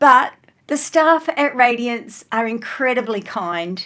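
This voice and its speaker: With an Australian accent, a woman talks at a fairly high pitch with lively intonation. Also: very clean recording, silent background. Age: 60s. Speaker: lifestyle vlogger. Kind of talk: vlog narration. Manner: animated.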